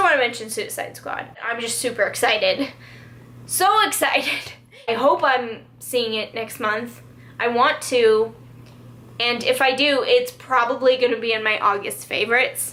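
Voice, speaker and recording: Against noticeable background noise, a woman speaks at a moderate pace in an animated tone. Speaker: beauty and lifestyle vlogger. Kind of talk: casual favorites vlog. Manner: loud.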